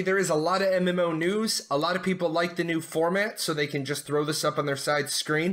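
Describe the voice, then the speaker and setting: Recorded very cleanly against a silent background, a man with a high voice speaks at a fairly quick pace. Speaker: gaming news youtuber. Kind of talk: news roundup. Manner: casual, conversational.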